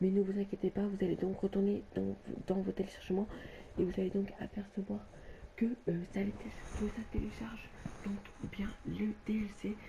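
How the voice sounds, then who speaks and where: Soft-spoken and monotone, with flat intonation, the speaker goes at a fairly slow pace with long, frequent pauses. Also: woman, medium pitch for a woman. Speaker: gaming youtuber. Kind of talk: tutorial. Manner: halting.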